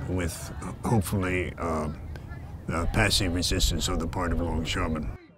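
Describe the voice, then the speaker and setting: Against noticeable background noise and audible room echo, a man speaks with a very deep, low pitch and fairly even intonation. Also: moderate pace. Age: 80s+. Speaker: retired longshoreman. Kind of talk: interview. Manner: halting, with many fillers.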